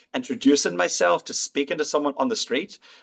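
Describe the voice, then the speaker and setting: Fairly high in pitch, this voice belongs to a man. He speaks with an Irish accent. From Ireland. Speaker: physician. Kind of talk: interview answer.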